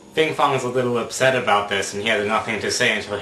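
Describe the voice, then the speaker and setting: A man at a medium pitch and very fast pace, fairly even intonation, with noticeable background noise. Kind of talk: casual video blog talk to camera.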